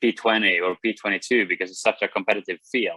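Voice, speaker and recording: This is a man speaking. He has a Swedish accent. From Sweden. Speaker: racing driver. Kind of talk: interview.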